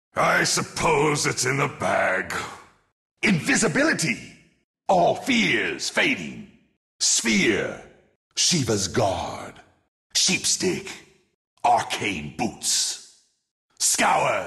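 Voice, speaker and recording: A man puts on a raspy character voice, pitched fairly high, moving at a very slow pace with long, frequent pauses. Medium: video game. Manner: menacing, sinister, disdainful.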